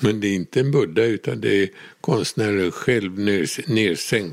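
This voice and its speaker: A man's fairly low voice moves very slowly, with ordinary variation in pitch. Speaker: relative of the subject. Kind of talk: interview.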